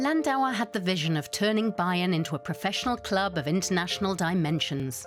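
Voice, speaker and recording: A woman with a British accent at medium pitch, her voice making very wide pitch swings, with music in the background. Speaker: voice artist. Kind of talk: TV documentary narration.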